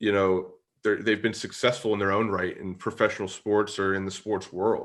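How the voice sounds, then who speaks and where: A man with an American accent speaks at a fairly quick pace in a fairly low pitch against a quiet background. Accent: Pittsburgh accent, comes out at times. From Pittsburgh area, western Pennsylvania. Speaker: podcast host. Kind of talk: casual interview. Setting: video call.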